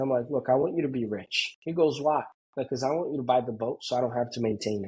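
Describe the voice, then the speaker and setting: A man talks at a very fast pace with a Brazilian Portuguese accent. His voice is somewhat breathy and medium in pitch. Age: 30s. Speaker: pool construction business owner. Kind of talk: casual interview chat. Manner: animated.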